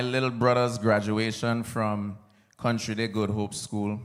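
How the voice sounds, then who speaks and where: A man speaks at a fairly slow pace. Room echo is audible. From US Virgin Islands, St. Croix. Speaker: soca artist, commencement speaker. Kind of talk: commencement speech. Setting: stage with audience at graduation ceremony.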